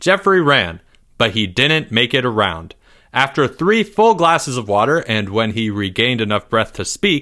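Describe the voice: The clip is plain reading aloud. It stays that way throughout.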